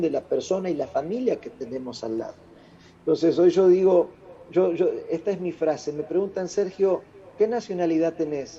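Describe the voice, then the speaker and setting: The speaker has an Argentine accent and ordinary pitch variation. Noticeable background noise can be heard. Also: man. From Argentina. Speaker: international speaker. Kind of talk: interview. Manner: loud.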